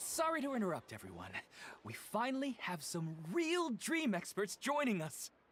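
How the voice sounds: A man performs a cartoonish character voice, high-pitched with very wide pitch swings, a fairly bright tone and a moderate pace.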